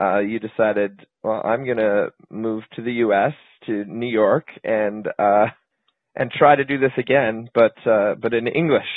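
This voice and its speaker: At a fairly slow pace, a man with a normal speaking voice talks in a medium pitch with fairly even intonation. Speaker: interviewer. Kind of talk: interview.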